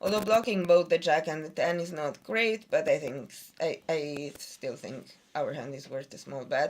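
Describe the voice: A woman with a low voice speaks at a moderate pace. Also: ordinary pitch variation.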